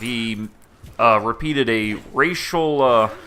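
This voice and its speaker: There is noticeable background noise. Over it, a man with an American accent speaks with lively intonation. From US South, Georgia (southern metro Atlanta). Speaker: gaming YouTuber. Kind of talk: casual commentary to camera. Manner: halting, many fillers.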